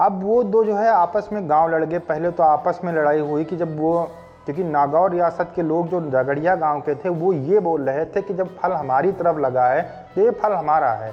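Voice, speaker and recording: Music plays in the background as a man speaks at a high pitch. His pace is moderate, with ordinary pitch variation. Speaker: voice-over artist. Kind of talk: fact video narration. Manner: casual, conversational.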